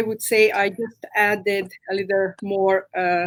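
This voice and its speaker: A woman with a Hungarian accent at a very slow pace. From Romania, Hungarian-speaking. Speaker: massage therapist. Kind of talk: interview. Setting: live stream. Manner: halting.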